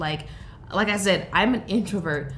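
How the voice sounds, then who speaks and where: Audible room echo surrounds a woman as she speaks. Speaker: beauty youtuber. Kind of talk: casual vlog chat. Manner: animated.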